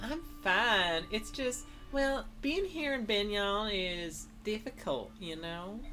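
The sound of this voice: A female-sounding voice performs a put-on character voice at a medium pitch and very slow pace. Background noise is clearly audible.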